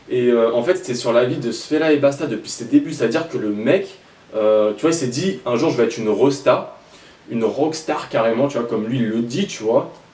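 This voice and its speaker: Amid noticeable background noise and audible room echo, a man with a medium pitch talks at a fairly quick pace with lively intonation. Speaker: rap news YouTuber. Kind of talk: casual commentary. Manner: fast.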